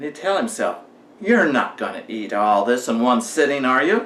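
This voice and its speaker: A man's voice swings very widely in pitch as he talks at a moderate pace. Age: 60s. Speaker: motivational vlogger. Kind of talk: storytelling monologue.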